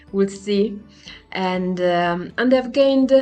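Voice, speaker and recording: A woman speaks at a very slow pace, her pitch in the middle range with ordinary variation. Music plays in the background. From Italy. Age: 40s. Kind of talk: personal vlog talk to camera.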